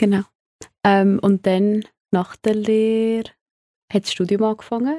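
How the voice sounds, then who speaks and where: Recorded dry and close with no echo, a woman speaks at medium pitch in a dark, mellow tone. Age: 20s. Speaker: hospitality worker, podcast guest. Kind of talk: casual chat.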